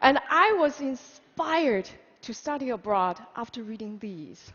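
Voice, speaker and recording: A woman's high voice with a Chinese accent, lively intonation and a fairly slow pace. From China, Hunan. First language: Mandarin Chinese. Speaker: public speaker. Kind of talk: conference talk.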